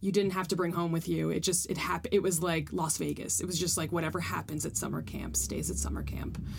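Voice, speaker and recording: Audible room echo surrounds speech at a fairly quick pace with hardly any pauses. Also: woman. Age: 30s. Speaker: improv comedian and graphic designer. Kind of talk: casual chat.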